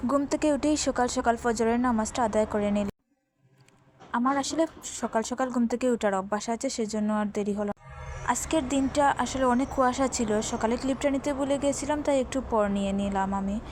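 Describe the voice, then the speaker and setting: Music plays behind the voice. Its pitch variation is ordinary. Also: woman, high pitch for a woman. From Bangladesh; Sylhet region, Bangladesh. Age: young. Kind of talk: casual vlog voiceover narration.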